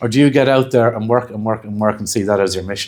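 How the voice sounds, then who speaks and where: A man talks at a fairly quick pace. His pitch varies in an ordinary way. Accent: Dublin. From Ireland. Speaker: hypnotherapy trainer. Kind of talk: lecture.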